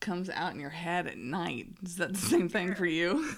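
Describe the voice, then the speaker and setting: In a normal speaking voice, a woman talks at a moderate pace with a medium pitch and lively intonation. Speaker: interviewer, podcast host. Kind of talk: casual interview.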